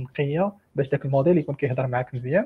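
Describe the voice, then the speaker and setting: This man speaks at a very fast pace. His fairly high pitch carries fairly even intonation. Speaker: AI engineer. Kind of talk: technical discussion.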